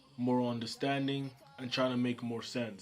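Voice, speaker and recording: This man talks at a fairly quick pace in a medium pitch. His intonation is flat and monotone, with noticeable background noise. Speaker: manga creator and YouTuber. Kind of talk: casual vlog monologue. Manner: soft-spoken.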